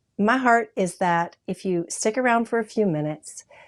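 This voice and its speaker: On a very clean recording with a silent background, a woman talks in a normal speaking voice. Her pace is fairly slow, with ordinary pitch variation. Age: 60s. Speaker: talk show host, professional model. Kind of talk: faith-based talk show monologue. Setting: studio.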